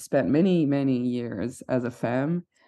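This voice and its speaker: A woman's dark, mellow voice carries lively intonation. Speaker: writer-director and actor. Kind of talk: casual chat. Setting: studio.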